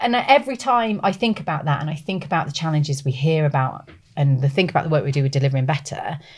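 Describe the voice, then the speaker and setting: A woman in a British accent, very deep and low in pitch, somewhat breathy, with an animated tone, lively intonation and a very fast pace. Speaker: podcast co-host and maternity campaigner. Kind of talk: casual chat.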